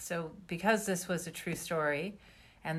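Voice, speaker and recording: A woman speaks in a Canadian accent at a fairly slow pace. Her pitch is very deep and low. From Canada, British Columbia. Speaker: novelist. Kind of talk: interview.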